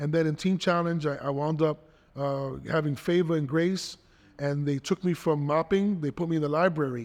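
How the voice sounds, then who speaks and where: Against a quiet background, a man with a New York accent speaks at a moderate pace with fairly even intonation and a fairly high pitch. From New York City, Spanish Harlem and the Bronx. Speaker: pastor. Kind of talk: interview testimony.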